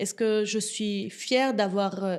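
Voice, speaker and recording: The woman's delivery is very slow. Her tone holds fairly even throughout. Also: very clean recording, silent background. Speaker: entrepreneur. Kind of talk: interview. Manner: hesitant, many fillers.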